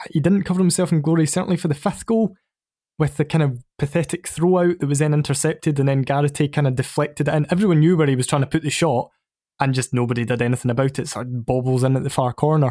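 The voice has a dark, mellow tone and a Scottish accent, with ordinary pitch variation. It moves at a very fast pace. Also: man, fairly high pitch for a man, very clean recording, silent background. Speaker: football podcast guest. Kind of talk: casual chat.

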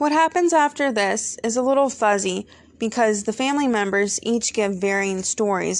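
A woman uses a normal speaking voice with a fairly high pitch, lively intonation and a moderate pace. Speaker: true crime podcast host. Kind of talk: scripted true-crime podcast narration, read as a steady, storytelling case summary. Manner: measured, earnest and conversational, with a serious storyteller's pacing; warm and friendly in intro and outro, thanking listeners.

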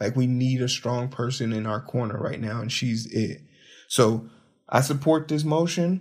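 This man's voice is somewhat breathy and medium in pitch, with ordinary pitch variation. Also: moderate pace. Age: 30s. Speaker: podcast host. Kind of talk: solo commentary podcast. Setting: home, late at night. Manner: animated.

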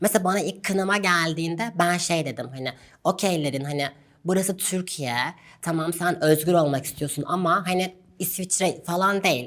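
Here a woman speaks in an ordinary speaking voice at a moderate pace. Her pitch is fairly low, with ordinary pitch variation. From Turkey, Gaziantep. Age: 20s. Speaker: doctor. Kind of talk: interview.

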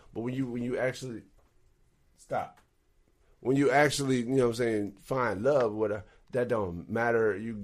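A man in an American accent speaks at a medium pitch with fairly even intonation and long, frequent pauses. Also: moderate pace. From Texas. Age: 30s. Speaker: musician. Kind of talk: casual chat.

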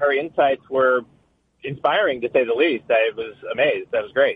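A man with a plain, everyday voice speaks at a moderate pace with lively intonation. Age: 50s. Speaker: caller. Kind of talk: call-in conversation. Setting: phone call.

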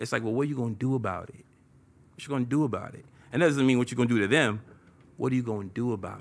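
A man at a very fast pace and medium pitch, with ordinary pitch variation, big swings in loudness and long, frequent pauses. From East Oakland, California. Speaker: music video director. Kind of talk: casual interview.

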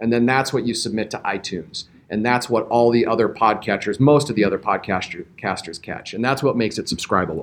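Here a man speaks in a normal speaking voice at a medium pitch. He moves at a fairly quick pace with hardly any pauses and ordinary pitch variation. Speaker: professional podcaster for a health system. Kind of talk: panel discussion. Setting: live recording at a conference.

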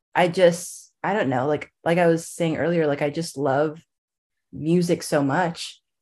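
Against a quiet background, an ordinary speaking voice moves at a fairly slow pace with fairly even intonation. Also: woman, fairly low pitch for a woman. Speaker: music fan and TikTok creator. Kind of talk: casual interview chat.

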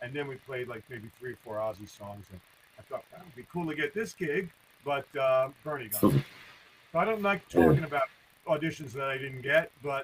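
At a moderate pace, a man talks with a fairly high pitch. His loudness swings widely. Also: lively intonation. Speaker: musician. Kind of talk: casual chat. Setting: video call.

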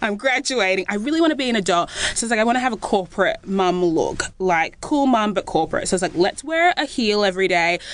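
A woman with an Australian accent talks at a very fast pace with hardly any pauses, her medium-pitched voice swinging very widely in pitch over noticeable background noise. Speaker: content creator. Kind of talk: casual chat.

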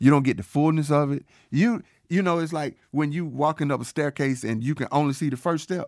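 A man with an American accent has an ordinary speaking voice, fairly high in pitch with ordinary pitch variation. He talks at a fairly quick pace, and the recording is very clean with a silent background. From Georgia, US South. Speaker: podcast co-host. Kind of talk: casual chat.

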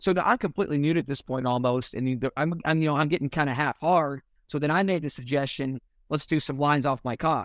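A man with an American accent talks at a very fast pace, fairly high in pitch with ordinary variation. The recording is very clean, with a silent background and a dry, close sound with no echo. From US Midwest, small-town Indiana. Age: 30s. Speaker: male stripper. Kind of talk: casual chat.

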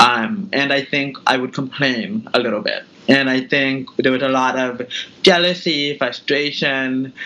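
A man with an American accent speaks with lively intonation. Noticeable background noise can be heard. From California, Bay Area (Tracy). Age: 30s. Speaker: fashion entrepreneur. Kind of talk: interview.

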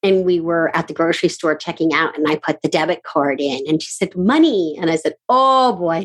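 With an animated tone and hardly any pauses, a woman speaks at a fairly low pitch with ordinary pitch variation. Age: 50s. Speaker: podcast host and productivity coach. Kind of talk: casual interview chat. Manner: fast talker; animated, excitable.

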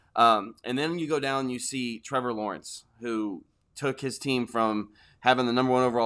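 In a very clean recording with a silent background, a man with an unremarkable speaking voice talks at a moderate pace, medium in pitch, with fairly even intonation. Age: 30s. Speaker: fantasy football podcast co-host. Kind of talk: casual chat.

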